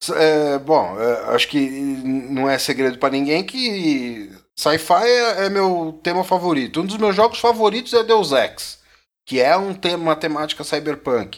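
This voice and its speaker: A man speaks with very wide pitch swings on a very clean recording with a silent background. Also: fairly high pitch for a man. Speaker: podcast co-host, gamer. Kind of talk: casual chat.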